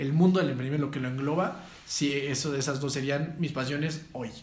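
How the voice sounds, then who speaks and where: With audible room echo, a man with a fairly high pitch speaks at a fairly quick pace and fairly even intonation. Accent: Mexican. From Mexico. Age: 20s. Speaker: entrepreneur and former pro footballer. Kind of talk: casual interview chat.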